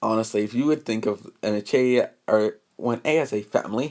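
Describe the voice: Against a quiet backdrop, the text is given as plain reading aloud.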